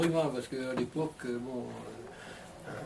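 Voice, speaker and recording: A man is speaking. Background noise is noticeable. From western France, Vendée. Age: 70s. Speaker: retired interviewee. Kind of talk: interview. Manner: hesitant, many fillers.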